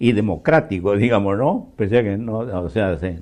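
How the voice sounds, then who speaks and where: A man's fairly low voice with a dark, mellow tone, a fairly slow pace and ordinary pitch variation. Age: 80s+. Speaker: political scientist, professor. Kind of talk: interview. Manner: hesitant, many fillers.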